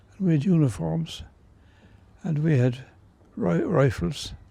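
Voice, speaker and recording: A man with a Cork accent speaks at a moderate pace, somewhat breathy, with a fairly high pitch and a dark, mellow tone. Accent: Cork Irish. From Ireland, Cork. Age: 80s+. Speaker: centenarian, war veteran. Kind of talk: interview reminiscence. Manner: halting.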